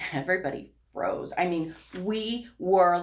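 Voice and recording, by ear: The voice reads aloud naturally, with nothing put on.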